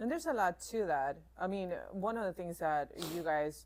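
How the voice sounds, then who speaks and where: At a moderate pace, a woman talks with a non-native accent. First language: not English. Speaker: jiu-jitsu student and assistant coach. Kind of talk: podcast interview. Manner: hesitant.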